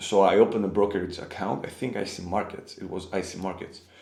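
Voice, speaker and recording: A man with a Greek accent speaks amid audible room echo. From Greece. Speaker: forex trader. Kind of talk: personal storytelling. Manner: halting.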